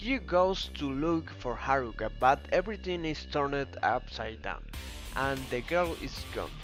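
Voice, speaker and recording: Music plays in the background. A man speaks with a non-native accent. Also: fairly slow pace. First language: not English. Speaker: video game story narrator. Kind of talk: video game story summary narration.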